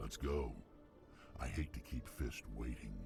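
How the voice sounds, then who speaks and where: A growling, put-on character voice moves at a moderate pace. Clear music plays in the background. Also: man. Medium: video game. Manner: blunt, menacing.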